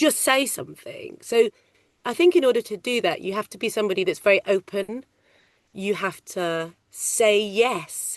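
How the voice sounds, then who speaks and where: At a moderate pace, a woman speaks in a medium pitch with ordinary pitch variation, in a dry, close sound with no echo and a quiet background. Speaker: ADR loop group casting coordinator. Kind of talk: interview. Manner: loud.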